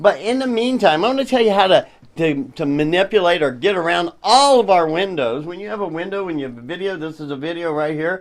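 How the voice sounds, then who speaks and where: Here a man speaks with a high pitch and lively intonation. The recording is very clean, with a silent background. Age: old. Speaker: tech tutorial presenter. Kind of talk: tutorial.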